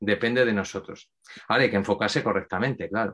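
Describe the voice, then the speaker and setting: Using an unremarkable speaking voice, the man keeps a medium pitch and fairly even intonation. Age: 50s. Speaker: mental focus coach. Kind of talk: interview.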